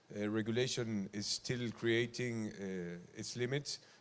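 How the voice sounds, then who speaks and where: This man has a medium-pitched voice. He speaks with a Spanish accent. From Argentina. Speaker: event host. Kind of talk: stage introduction. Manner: halting.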